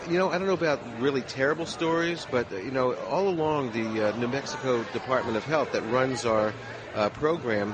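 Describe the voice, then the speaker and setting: With an American accent, a man speaks at a medium pitch and moderate pace with ordinary pitch variation, amid noticeable background noise and audible room echo. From Los Angeles, California. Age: 60s. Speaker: radio host and dispensary worker. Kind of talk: interview. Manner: halting.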